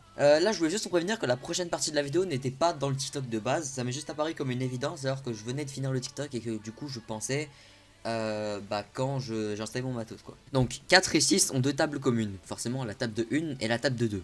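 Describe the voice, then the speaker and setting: At a very fast pace, a man speaks with ordinary pitch variation. His pitch sits in the medium range. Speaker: anime youtuber. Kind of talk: improvised vlog explainer. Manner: hesitant, searching for words.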